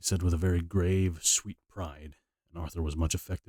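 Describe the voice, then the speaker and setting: A man speaks at a moderate pace in a very deep, low, somewhat breathy voice with fairly even intonation. The sound is dry and close with no echo, on a very clean recording with a silent background. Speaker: audiobook reader and streamer. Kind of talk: reading aloud; casual chat. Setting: live stream. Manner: halting.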